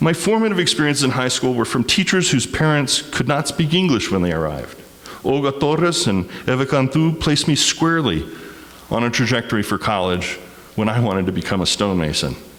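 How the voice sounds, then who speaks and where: Noticeable background noise runs under a man talking at a fairly quick pace in a medium pitch. His pitch swings very widely while his loudness stays very even. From Texas, El Paso. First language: Spanish. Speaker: community speaker. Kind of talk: personal testimony.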